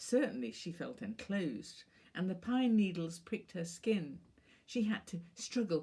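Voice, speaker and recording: A woman's medium-pitched voice carries vocal fry and very wide pitch swings at a fairly slow pace. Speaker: author and professor. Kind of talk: reading of her own short stories.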